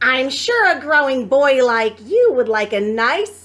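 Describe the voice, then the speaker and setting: In a put-on character voice, a woman speaks at a fairly slow pace. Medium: read story. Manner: fussy, motherly.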